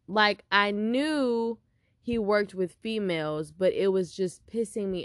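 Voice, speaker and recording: A woman with an American accent and medium pitch, at a very slow pace over a quiet background. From Texas, Houston. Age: 20s. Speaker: podcast host. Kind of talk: casual chat.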